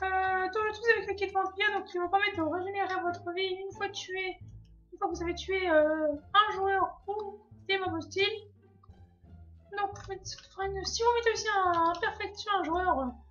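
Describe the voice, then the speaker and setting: A woman speaks at an extremely high pitch and a moderate pace, her intonation fairly even. Music plays in the background, and she leaves long, frequent pauses. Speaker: gaming youtuber. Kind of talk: gameplay commentary. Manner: halting, many fillers.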